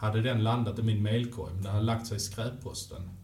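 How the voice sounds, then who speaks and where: A man's fairly low voice amid audible room echo and noticeable background noise. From Malmö, Skåne, southern Sweden. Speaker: hockey journalist. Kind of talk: interview. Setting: arena.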